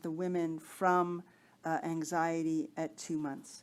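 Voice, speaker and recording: A woman speaks in a plain, everyday voice, fairly low in pitch and at a fairly slow pace, on a very clean recording with a silent background. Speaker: researcher. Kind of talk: lecture.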